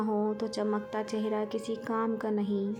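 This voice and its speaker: A woman speaks with a fairly high pitch. Music plays in the background. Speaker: poetry and quotes narrator. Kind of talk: Islamic quotes and poetry reading.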